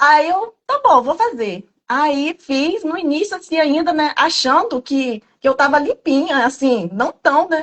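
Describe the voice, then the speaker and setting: At a high pitch, a woman talks at a fairly slow pace with hardly any pauses. Her pitch swings very widely. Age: 30s. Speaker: program participant giving testimony. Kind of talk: testimony. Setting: video call.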